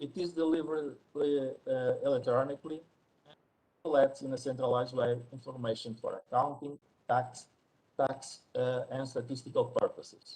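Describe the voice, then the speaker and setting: Somewhat breathy, a man speaks at a moderate pace with a fairly high pitch. His tone is dark and mellow, his intonation monotone and flat. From Portugal. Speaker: statistician presenter. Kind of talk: conference presentation. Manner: quiet; halting.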